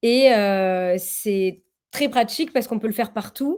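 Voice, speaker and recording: This woman has a southern French accent and a fairly high pitch. Her tone is dark and mellow. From southern France. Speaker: coach and workshop guest. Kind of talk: interview answers in a live webinar. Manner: hesitant, many filler sounds.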